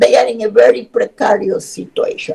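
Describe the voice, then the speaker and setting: A woman's voice with a Spanish accent. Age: 70s. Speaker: human rights expert. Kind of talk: webinar lecture.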